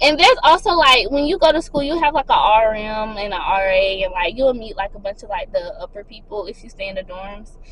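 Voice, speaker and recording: Noticeable background noise sits behind a woman's voice. She has a fairly high pitch and talks at a fairly quick pace. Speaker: lifestyle vlogger. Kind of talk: casual advice vlog. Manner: fast.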